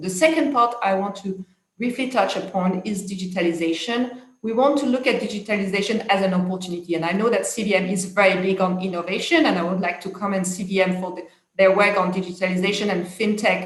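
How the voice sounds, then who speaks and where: A woman's medium-pitched voice in a French accent, at a very fast pace, with audible room echo. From France. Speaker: international policy expert. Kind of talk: conference talk. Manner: hesitant, many fillers.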